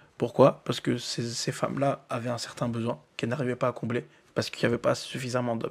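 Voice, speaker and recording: A man's very fast delivery in a monotone, flat intonation. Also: medium pitch for a man. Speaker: podcast host. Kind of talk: casual debate. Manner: halting, with frequent repetitions.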